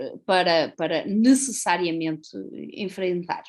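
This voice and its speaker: A woman with a Portuguese accent speaks at a very slow pace. Her pitch swings very widely against a quiet background. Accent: European Portuguese. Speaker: law professor. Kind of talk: conference talk. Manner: formal.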